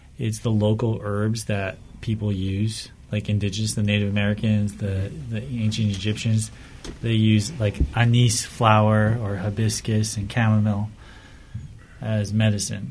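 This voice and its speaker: A man talks in a flat monotone at a fairly low pitch and a moderate pace. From Whittier, Southern California. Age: 20s. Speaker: tea business owner, navy veteran. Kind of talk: casual interview.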